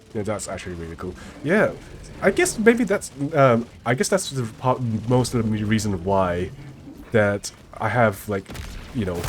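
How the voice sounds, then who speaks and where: A man with a Chinese accent at medium pitch, long and frequent pauses, and noticeable background noise. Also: ordinary pitch variation, moderate pace. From multicultural English-speaking place near Singapore. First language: Mandarin Chinese. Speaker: gaming streamer. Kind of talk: casual chat. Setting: live stream. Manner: halting.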